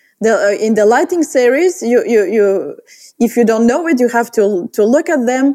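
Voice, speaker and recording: A woman with a Bulgarian accent speaks at a moderate pace in a high pitch, her dark, mellow tone carrying lively intonation at very even loudness. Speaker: portrait photographer. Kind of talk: interview. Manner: halting.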